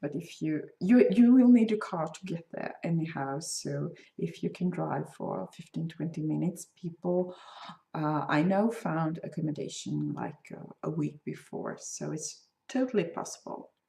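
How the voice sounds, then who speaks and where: In a Swedish accent, a woman talks at a fairly slow pace with big swings in loudness. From Sweden. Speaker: crochet designer and podcaster. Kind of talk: casual podcast talk. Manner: hesitant, many fillers.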